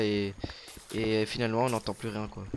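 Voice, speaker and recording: There is noticeable background noise as a man speaks. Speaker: gaming YouTuber. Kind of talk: casual gameplay commentary. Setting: recording together at home. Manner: loud.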